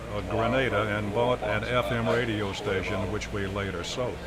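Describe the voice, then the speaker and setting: With a Southern US accent, a man speaks at a fairly low pitch with fairly even intonation. Background noise is noticeable. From Mississippi. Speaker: broadcaster. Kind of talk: interview answer.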